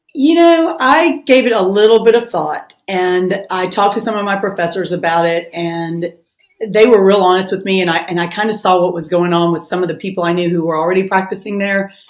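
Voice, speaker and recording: A woman with a strong Southern US accent talks at a fairly quick pace. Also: medium pitch for a woman, ordinary pitch variation. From US South, Memphis, Tennessee. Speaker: family lawyer. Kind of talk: interview.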